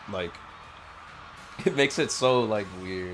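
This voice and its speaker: A man with a fairly low pitch and ordinary pitch variation speaks with audible room echo and music in the background. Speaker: streamer. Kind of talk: casual gameplay livestream chat. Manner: casual, halting with fillers.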